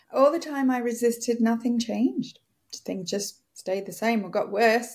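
A woman speaks in a plain, everyday voice at a moderate pace. Her pitch is fairly high, with ordinary pitch variation. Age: 50s. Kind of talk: casual chat.

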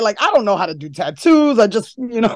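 A woman talks with a New York accent. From New York City (Harlem). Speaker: horror host and filmmaker. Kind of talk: casual interview chat.

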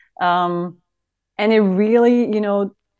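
A woman's voice with a German accent against a quiet background. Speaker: fan. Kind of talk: casual chat.

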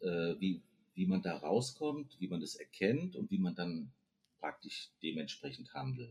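A man with a very deep, low pitch swings very widely in pitch at a fairly slow pace. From Frankfurt am Main, Hesse, Germany. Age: 50s. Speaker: podcast guest. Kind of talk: casual interview chat.

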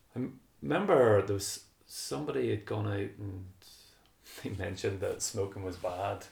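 Speaking at a moderate pace with noticeable background noise around him, a man uses a fairly low pitch and ordinary pitch variation. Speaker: running podcast host. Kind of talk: casual interview chat.

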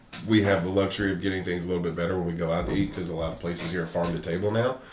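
Audible room echo around a man's speech with ordinary pitch movement. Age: 30s. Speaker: podcast host. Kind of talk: casual chat.

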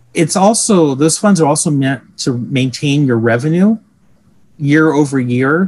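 A man with a fairly high pitch talks at a fairly slow pace with lively intonation. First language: Portuguese. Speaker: accountant and chapter secretary. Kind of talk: interview answering questions. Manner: fluent, filler words.

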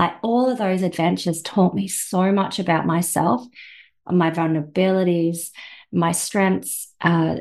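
A woman with a normal speaking voice and a fairly low pitch talks at a moderate pace with ordinary pitch variation over a quiet background. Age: 40s. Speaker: personal trainer and life coach. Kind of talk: interview.

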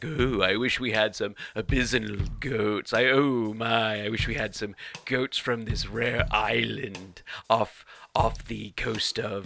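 In a put-on character voice, a man delivers his lines fairly slowly at a medium pitch. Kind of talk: affected, upper-class. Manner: snooty, posh.

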